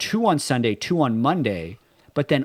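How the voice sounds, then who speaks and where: Heard dry and close with no echo on a very clean recording with a silent background, a man with a slight Canadian accent talks at a fairly high pitch with very wide pitch swings. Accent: slightly Canadian. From Canada. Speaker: esports podcast co-host. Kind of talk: casual chat.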